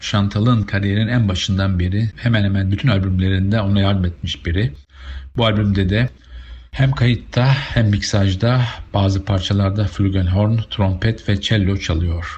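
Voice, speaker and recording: A man talks at a fairly quick pace in a fairly low, somewhat breathy voice. His loudness stays very even and his intonation fairly even. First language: Turkish. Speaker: radio host and jazz presenter. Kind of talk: radio music show presenting a jazz artist between songs. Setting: radio studio broadcast. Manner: calm, measured, informative radio-host patter; formal, steady announcer delivery.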